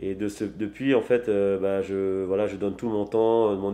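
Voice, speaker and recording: The man's fairly low, dark, mellow voice moves at a fairly slow pace with monotone, flat intonation. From Tahiti, French Polynesia. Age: 30s. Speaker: sailor and traditional navigation entrepreneur. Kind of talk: interview. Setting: office. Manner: hesitant, many fillers.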